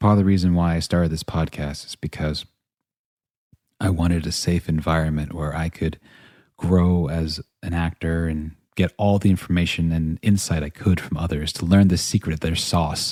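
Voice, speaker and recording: A soft-spoken voice with a dark, mellow tone moves at a moderate pace in a monotone, flat intonation. The recording is very clean with a silent background, and the sound is dry and close with no echo. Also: man, very deep, low pitch for a man. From US South. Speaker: podcast host, actor. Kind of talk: personal storytelling monologue.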